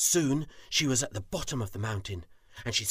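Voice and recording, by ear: A natural voice reading aloud, full of lively intonation.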